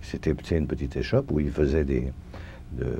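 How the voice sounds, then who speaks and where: The man's voice has a dark, mellow tone. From France, Paris. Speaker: Holocaust survivor. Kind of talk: testimony. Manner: halting, many hesitations.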